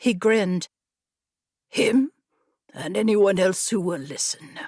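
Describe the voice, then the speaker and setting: Putting on a character voice, a woman speaks at a medium pitch, raspy and at a fairly slow pace, with lively intonation in a dry, close sound with no echo. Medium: read story.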